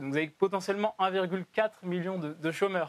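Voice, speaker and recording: A man speaks at a moderate pace, his pitch high and his intonation fairly even. The sound is dry and close, with no echo. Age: 20s. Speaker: think tank president. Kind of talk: televised debate.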